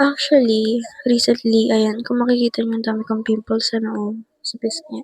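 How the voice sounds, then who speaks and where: Someone is whispering. The voice is soft-spoken. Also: woman, moderate pace. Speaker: vlogger. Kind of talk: vlog, get ready with me.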